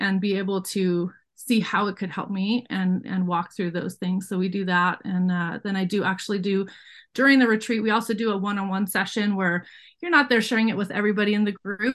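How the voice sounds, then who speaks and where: Over a quiet background, a woman with a medium pitch talks at a very fast pace with ordinary pitch variation. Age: 40s. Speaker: life coach and business owner. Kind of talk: interview.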